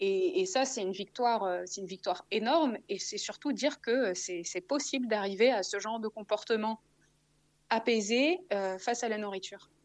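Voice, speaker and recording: Against a quiet background, a woman speaks with a fairly high pitch. Her intonation is lively and her pace moderate. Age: 30s. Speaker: author. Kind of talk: testimony. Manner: halting.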